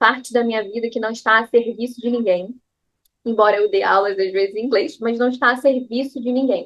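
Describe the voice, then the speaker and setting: Her voice is fairly high, and this woman keeps her intonation fairly even. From Brazil, Rio de Janeiro. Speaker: yoga teacher. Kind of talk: casual personal talk to camera.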